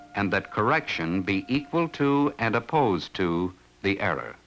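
Faint music plays in the background as a man talks. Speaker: film narrator. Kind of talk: documentary narration. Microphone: old recording.

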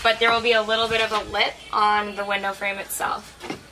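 Speech comes at a moderate pace with noticeable background noise behind it. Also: woman. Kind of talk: tutorial. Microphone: camera far.

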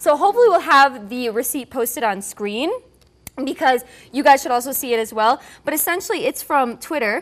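High pitch and lively intonation from a woman. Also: fairly quick pace. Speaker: talk show co-host. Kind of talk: entertainment commentary. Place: studio. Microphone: lapel.

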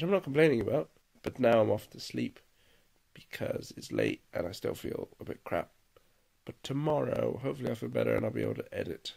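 Against a quiet background, a man talks at a fairly quick pace with big swings in loudness. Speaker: vlogger. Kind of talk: casual vlog chat. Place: home room. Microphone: phone near.

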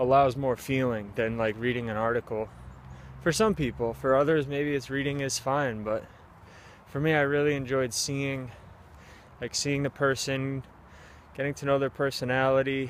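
A man at a moderate pace with fairly even intonation and long, frequent pauses, dry with no echo, over light background noise. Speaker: vlogger. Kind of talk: casual vlog chat. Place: forest. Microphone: phone near.

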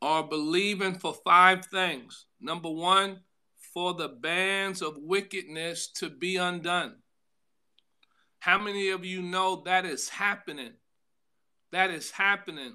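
Male voice, bright and sharp in tone, at a very slow pace with long, frequent pauses, fairly even intonation and a quiet background. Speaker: pastor. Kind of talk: sermon. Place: home room. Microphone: phone near.

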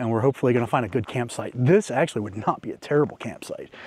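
Against a quiet background, a man talks at a very fast pace with lively intonation. The sound is dry with no echo. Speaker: overland travel vlogger. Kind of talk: casual vlog chat. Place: open country. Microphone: lapel.

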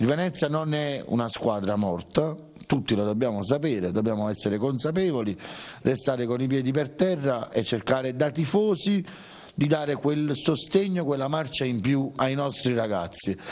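Here a man is speaking. His pace is moderate and his intonation is lively. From Italy. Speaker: football supporters' club member. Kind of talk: TV interview. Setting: supporters' club venue. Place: home room. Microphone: handheld.

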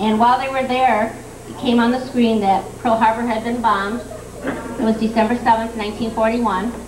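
A woman with a fairly high pitch speaks in a monotone, flat intonation at a moderate pace, with noticeable background noise. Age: 50s. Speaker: daughter giving birthday tribute. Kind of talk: tribute speech. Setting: party with audience, microphone. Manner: halting. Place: hall. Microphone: old recording.

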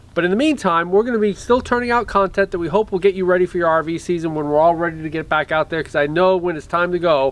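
Talking at a very fast pace with hardly any pauses, a man uses a high pitch with ordinary pitch variation, recorded dry with no echo. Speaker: RV travel vlogger. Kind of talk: casual vlog chat. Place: street. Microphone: camera far.

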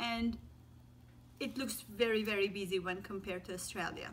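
Against light background noise, a woman speaks with a bright, sharp tone. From Turkey. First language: Turkish. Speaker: teacher. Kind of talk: casual talk to camera. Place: home room. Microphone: phone near.

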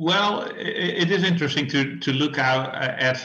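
A man with a Dutch accent speaks at a fairly slow pace. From Netherlands. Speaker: beer historian. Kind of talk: interview. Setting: remote call.

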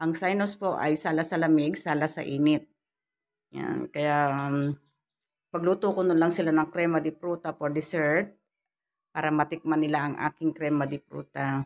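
A woman's very deep, low voice in a flat monotone. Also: moderate pace. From Philippines. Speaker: vlogger; home vlogger. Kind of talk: casual vlog. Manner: halting. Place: home room. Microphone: phone near.

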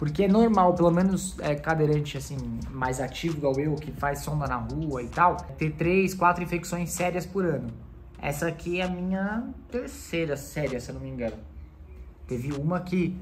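There is light background noise as a man talks at a moderate pace. His pitch varies in an ordinary way. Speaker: wheelchair user vlogger. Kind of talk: casual vlog chat. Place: home room. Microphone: phone near.

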